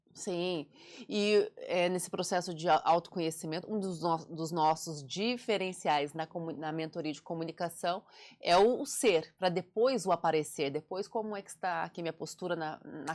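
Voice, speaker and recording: An ordinary speaking voice, a woman's fairly low pitch with fairly even intonation at a moderate pace, on a very clean recording with a silent background. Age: 40s. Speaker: communication and public speaking mentor, author. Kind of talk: interview conversation.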